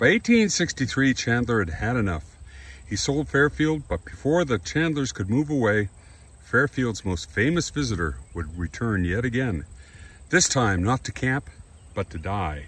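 Speaking at a fairly slow pace, a man shows vocal fry and very wide pitch swings in a dry sound with no echo. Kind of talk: reading aloud with brief commentary. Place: open country. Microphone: phone near.

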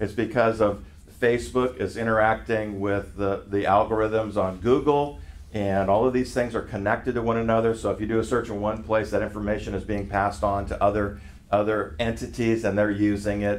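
Talking at a fairly quick pace, a man uses an ordinary speaking voice, fairly low in pitch with fairly even intonation. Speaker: pastor teaching a group. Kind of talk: sermon. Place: meeting room. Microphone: camera far.

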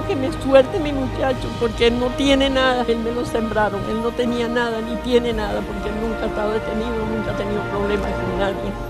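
A woman speaks at a moderate pace with a dry sound and no echo, while music plays clearly in the background. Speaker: grandmother of a detained student. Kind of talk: public statement to press. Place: street. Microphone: handheld.

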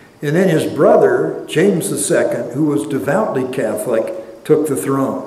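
A man talks at a moderate pace with hardly any pauses, and audible room echo surrounds his voice. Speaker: church history lecturer and pastor. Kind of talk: lecture. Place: church. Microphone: lapel.

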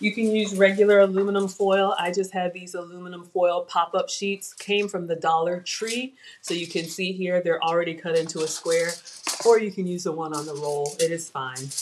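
A woman speaks with an American accent at a fairly low pitch and a moderate pace. Her intonation stays fairly even over noticeable background noise. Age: 40s. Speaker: cooking show host. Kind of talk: live cooking stream. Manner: casual, chatty. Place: kitchen. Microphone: webcam.

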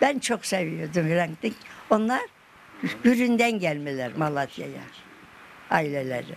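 A woman speaks at a very slow pace with fairly low pitch and very wide pitch swings, leaving long, frequent pauses over light background noise. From Malatya, Turkey. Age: 80s+. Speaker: elderly local woman interviewed. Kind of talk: interview answer. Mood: fond, sorrowful remembrance. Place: home room.

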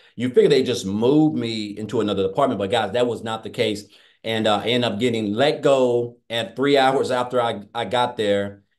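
A man speaks with a Southern US accent at a moderate pace. The background is quiet. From Tennessee. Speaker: former welder. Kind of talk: testimony. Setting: video call. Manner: excitable. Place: home room. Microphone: webcam.

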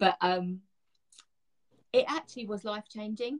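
Over a quiet background, a woman with a British accent speaks at a fairly slow pace, somewhat breathy, with lively intonation. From London, England. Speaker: beauty direct sales guide. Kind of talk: interview answer. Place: home room. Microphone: video call.

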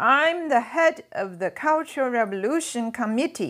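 A woman uses a put-on character voice that is shrill and high-pitched. She talks at a moderate pace. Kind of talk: reading a book aloud. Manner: shrieking.

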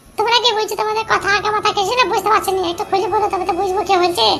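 A squeaky, cartoonish character voice at a very fast pace, monotone and flat in intonation, over clear background noise. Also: woman, extremely high pitch for a woman. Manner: quick-tempered, defiant.

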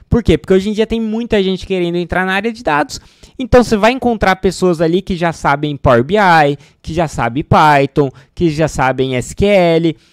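A man with a high voice talks at a moderate pace with lively intonation, the sound dry with no echo. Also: quiet background. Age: 30s. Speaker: data scientist and educational YouTuber; data career educator. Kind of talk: sales pitch; casual tutorial to camera. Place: home room. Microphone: studio mic.

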